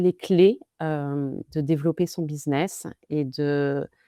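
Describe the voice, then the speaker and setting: In a very clean recording with a silent background, a woman with a dark, mellow tone speaks with fairly even intonation, the sound dry and close with no echo. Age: 30s. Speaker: marketing consultant. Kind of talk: interview conversation.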